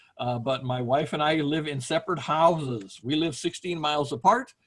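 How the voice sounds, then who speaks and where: A man has a normal speaking voice at a fairly high pitch. He moves at a moderate pace with ordinary pitch variation. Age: 60s. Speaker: professor. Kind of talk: online lecture. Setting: video call from home. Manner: casual, conversational.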